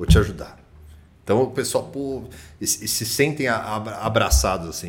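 Somewhat breathy, a man's voice carries lively intonation. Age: 30s. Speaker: real estate agency director. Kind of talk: casual chat.

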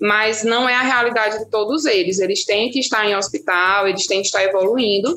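At a fairly quick pace with hardly any pauses, a woman speaks with ordinary pitch variation and very even loudness. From Brazil, Petrolina, Pernambuco. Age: 30s. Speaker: resident doctor. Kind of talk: interview.

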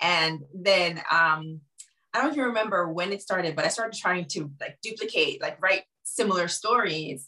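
Here a woman speaks at a moderate pace with a medium pitch. Her intonation is lively and her tone bright and sharp. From Jamaica. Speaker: novelist. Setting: video call.

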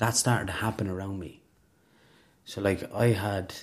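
In an Irish Midlands accent, a man talks at a moderate pace with fairly low pitch and fairly even intonation, on a very clean recording with a silent background. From Ireland, rural Westmeath. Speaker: recovering alcoholic. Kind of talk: testimony.

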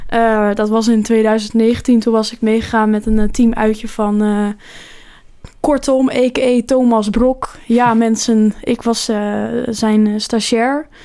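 With noticeable background noise behind her, a woman with a fairly high pitch speaks very slowly in a monotone, flat intonation. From Netherlands, near Rotterdam. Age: 20s. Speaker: podcast co-host. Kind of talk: casual chat.

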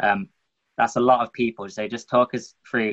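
Speaking with an English accent, a man uses a bright, sharp tone and monotone, flat intonation at a moderate pace, recorded dry and close with no echo. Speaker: podcast host. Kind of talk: interview. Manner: casual.

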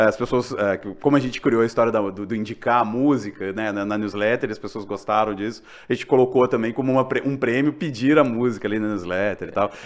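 Speaking at a fairly quick pace with hardly any pauses, a man uses an unremarkable speaking voice at medium pitch with fairly even intonation. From Minas Gerais, Brazil. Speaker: podcast host. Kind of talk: casual interview chat.

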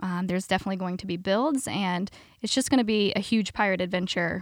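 Talking very fast at a medium pitch with ordinary pitch variation, a woman is heard on a very clean recording with a silent background. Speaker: theme park PR manager. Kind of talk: casual interview.

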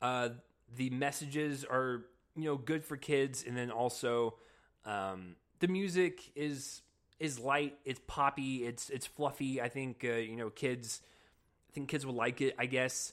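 Using ordinary pitch variation, this is a plain, everyday voice. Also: man, medium pitch for a man, fairly slow pace. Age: 20s. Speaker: movie reviewer. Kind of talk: solo video review. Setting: camera-facing video recording. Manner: casual, lots of fillers and repetitions.

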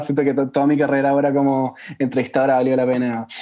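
With a Chilean accent, a man talks at a very fast pace in a dark, mellow tone at a medium pitch. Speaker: podcast host. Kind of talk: interview.

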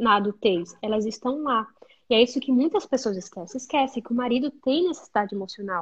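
A woman's high voice at a moderate pace. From Brazil, interior of Amazonas. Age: 20s. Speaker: psychologist. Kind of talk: casual interview.

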